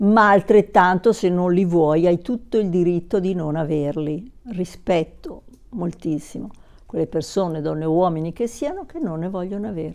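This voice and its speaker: A woman's fairly low-pitched voice at a moderate pace, with ordinary pitch variation over a quiet background. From southern Italy, Naples; southern Italy. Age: 60s. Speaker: YouTuber. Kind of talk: personal vlog monologue. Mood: warm, reflective. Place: home room. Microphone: lapel.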